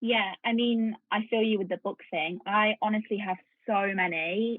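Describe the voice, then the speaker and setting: Her pitch fairly high, a woman talks with fairly even intonation. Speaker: entrepreneur and business coach. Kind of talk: podcast interview. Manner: fast.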